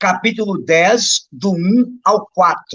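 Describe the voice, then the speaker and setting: A man speaks with ordinary pitch variation. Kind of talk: Bible teaching on a livestream. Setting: live stream.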